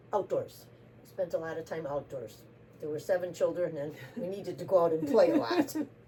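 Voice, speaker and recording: Over noticeable background noise, a woman with an American accent talks at a fairly quick pace with lively intonation and big swings in loudness. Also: fairly low pitch for a woman. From US Midwest, Racine, Wisconsin. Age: 70s. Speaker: interviewee. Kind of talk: casual interview.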